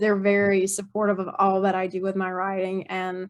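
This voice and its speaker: At a moderate pace, a woman talks at a medium pitch. The recording is very clean, with a silent background. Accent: Mississippi. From Mississippi. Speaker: author. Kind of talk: interview conversation. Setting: podcast interview. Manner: casual with many fillers.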